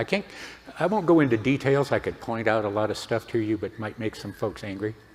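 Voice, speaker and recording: Over noticeable background noise, a man with a medium pitch talks at a fairly quick pace and with lively intonation. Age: 70s. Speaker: convention speaker. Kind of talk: convention talk. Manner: casual, conversational.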